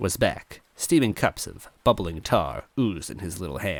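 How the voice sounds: Delivered in a natural reading voice, the speech carries lively intonation.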